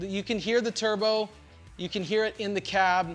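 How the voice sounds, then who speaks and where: The talking proceeds at a moderate pace. Faint music plays in the background. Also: man. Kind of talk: product review commentary. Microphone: lapel.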